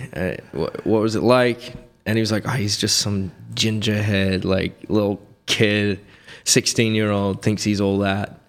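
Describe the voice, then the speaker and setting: A man's fairly low, monotone, flat delivery at a fairly slow pace, with music in the background. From England, near London. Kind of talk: casual podcast interview.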